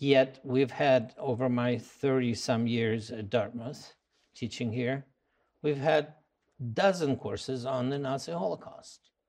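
Speaking with a Russian accent, a man uses a medium pitch and ordinary pitch variation. His pace is fairly slow. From Russia, Moscow. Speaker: anthropology professor. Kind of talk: interview. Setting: on location at a college campus. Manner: hesitant with many fillers.

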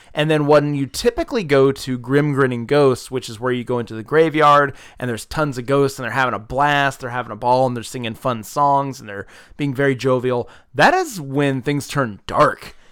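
Here a man with an American accent speaks at a moderate pace and medium pitch. His tone is animated, with big swings in loudness. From US South, South Georgia. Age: 30s. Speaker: podcast host. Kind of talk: casual chat. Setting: home.

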